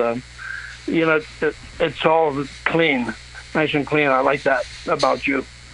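Monotone, flat intonation from a man, with noticeable background noise. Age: 80s+. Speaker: caller. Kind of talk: phone sex chat. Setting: phone call.

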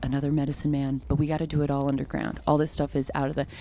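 Very fast and very deep in pitch, a woman's voice carries a dark, mellow tone. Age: 30s. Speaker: comedian. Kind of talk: casual chat.

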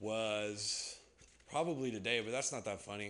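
The voice carries an American accent, with noticeable background noise behind it. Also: man. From US West Coast. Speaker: comedian and improv host. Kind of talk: stand-up. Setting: stage with audience.

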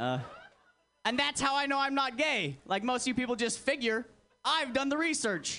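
Over music in the background, a man speaks in a raised, projected voice at an extremely high pitch, with ordinary pitch variation and long, frequent pauses. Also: moderate pace. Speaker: stand-up comedian. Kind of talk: stand-up set. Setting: stage with audience (replayed video). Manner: crude, edgy, brash.

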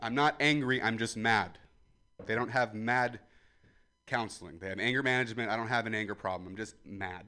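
A loud man's voice, bright and sharp in tone, with ordinary pitch variation at a fairly quick pace. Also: medium pitch for a man. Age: 20s. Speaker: comedian. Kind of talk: stand-up. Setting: outdoors.

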